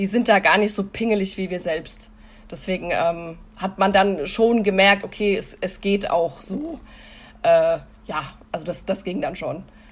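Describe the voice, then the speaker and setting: A woman with an unremarkable speaking voice talks slowly at a medium pitch, showing ordinary pitch variation and a fairly slow pace. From Hesse, Germany. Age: 30s. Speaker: podcast guest sharing personal experience. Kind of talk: casual interview, personal testimony.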